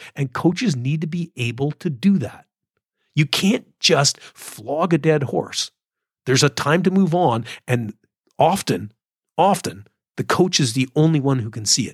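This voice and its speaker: A man speaks in a fairly high pitch with lively intonation and a somewhat breathy voice. His pace is fairly slow, with long, frequent pauses, and the sound is dry and close with no echo. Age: 60s. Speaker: decathlon coach. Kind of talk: solo podcast monologue. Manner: casual, halting with fillers.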